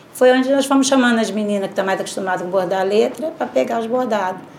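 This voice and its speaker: The speech rushes at a very fast pace through noticeable background noise. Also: woman. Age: 50s. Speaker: embroiderer. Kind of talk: testimony.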